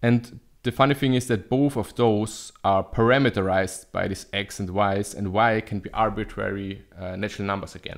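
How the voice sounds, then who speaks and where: Over a quiet background, a man with a fairly low pitch uses a plain, everyday voice, ordinary pitch variation and a moderate pace. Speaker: math video host. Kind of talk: lecture. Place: home room. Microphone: studio mic.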